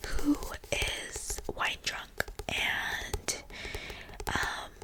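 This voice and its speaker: This woman speaks in a whisper. Noticeable background noise is audible. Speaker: ASMR creator. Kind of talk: ASMR book haul, casual talk to camera.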